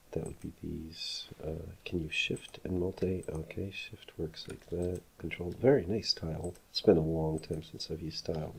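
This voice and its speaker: A man mumbles in a very deep, low voice that is somewhat breathy. He keeps a moderate pace with ordinary pitch variation. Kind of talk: casual tutorial conversation. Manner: mumbling.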